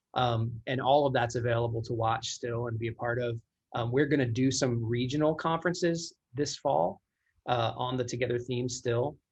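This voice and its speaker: A man's somewhat breathy voice shows ordinary pitch variation. The background is quiet. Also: medium pitch for a man. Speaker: church creative director. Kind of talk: casual chat. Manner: fast.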